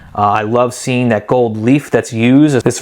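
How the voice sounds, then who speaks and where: With an American accent and a normal speaking voice, a man talks at a moderate pace, medium pitch, and fairly even intonation. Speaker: Bible collector and video host. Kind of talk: show-and-tell video presentation. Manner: casual with frequent fillers.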